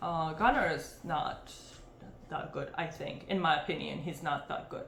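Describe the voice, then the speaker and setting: A woman with a non-native accent and a fairly low pitch talks at a moderate pace with fairly even intonation. Noticeable background noise and audible room echo are present. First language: not English. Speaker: MMA fight analyst, channel host. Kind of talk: fight picks breakdown. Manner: casual, hesitant with many fillers.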